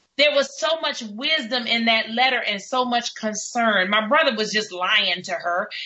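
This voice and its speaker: An animated woman with a New York accent, high pitch, ordinary pitch variation and a moderate pace. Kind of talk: talk radio discussion. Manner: halting, repeats words.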